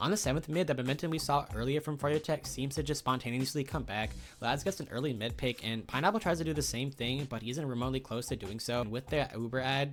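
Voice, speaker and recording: Very fast and with hardly any pauses, a man speaks at a medium pitch with vocal fry and ordinary pitch variation on a very clean recording with a silent background. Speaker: gaming commentator. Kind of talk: esports match recap narration.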